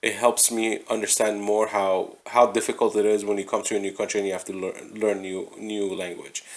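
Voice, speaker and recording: A man with a non-native accent speaks at a fairly quick pace with hardly any pauses. His fairly low voice stays monotone, with flat intonation. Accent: non-native English, slurred words. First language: not English. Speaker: podcast host. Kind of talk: casual chat. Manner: halting.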